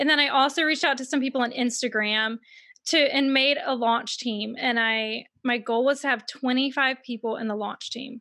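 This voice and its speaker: Against a very clean recording and silent background, a woman with an American accent uses a raised, projected voice, bright and sharp in tone and high in pitch, at a moderate pace. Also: fairly even intonation. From US South, Mississippi. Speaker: author. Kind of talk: casual interview.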